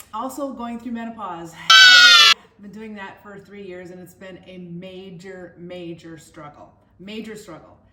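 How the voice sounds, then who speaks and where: A woman speaks with an Upper Midwest accent. Her pitch sits in the medium range. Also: ordinary pitch variation, fairly slow pace. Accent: Upper Midwest American. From Minnesota, US Midwest. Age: 60s. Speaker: wellness vlogger. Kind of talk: personal vlog monologue.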